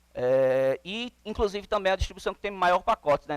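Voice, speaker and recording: This man has a plain, everyday voice with lively intonation, speaking at a fairly quick pace in a dry, close recording with no echo. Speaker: conference speaker on Linux containers. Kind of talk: conference talk.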